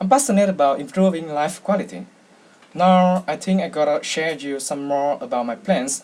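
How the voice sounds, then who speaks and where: A man with a Vietnamese accent talks at a moderate pace with lively intonation. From Vietnam, Hanoi. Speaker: university student. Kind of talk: speech contest entry. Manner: halting, with fillers.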